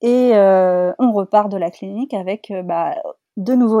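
A woman talks at a medium pitch in a dark, mellow tone, with ordinary pitch variation. The sound is dry and close, with no echo. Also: very clean recording, silent background. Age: 30s. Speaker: podcast guest sharing fertility journey. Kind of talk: testimony. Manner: halting.

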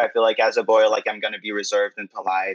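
A man of medium pitch with a Quebec accent and fairly even intonation. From Quebec City. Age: 20s. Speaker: drag queen. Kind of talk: interview.

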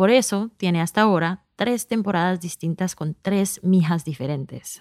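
On a very clean recording with a silent background and a dry, close sound with no echo, a woman speaks at a fairly slow pace. She has an unremarkable speaking voice of medium pitch with ordinary pitch variation. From US, New York, Colombian immigrant family. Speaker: podcast creator and executive producer. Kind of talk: scripted narration.

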